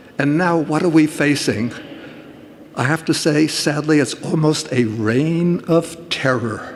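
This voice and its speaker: A man speaks at a fairly slow pace with a fairly high pitch. His pitch variation is ordinary, and there is noticeable background noise. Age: 80s+. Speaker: Buddhist monk. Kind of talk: public talk.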